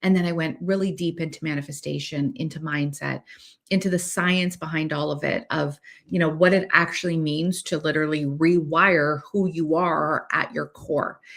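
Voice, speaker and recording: A woman speaks with a Canadian accent in a very deep, low pitch, her intonation fairly even and her pace moderate. The recording is very clean, with a silent background. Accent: Canadian, says 'eh' a lot. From Canada. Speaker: podcast host, manifestation coach. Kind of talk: personal story monologue. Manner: casual, with filler words.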